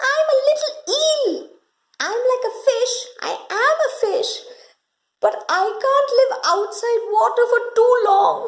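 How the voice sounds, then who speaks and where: In a put-on character voice, a woman speaks squeaky and extremely high, at a fairly slow pace with long, frequent pauses. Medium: read story. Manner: eager, repetitive.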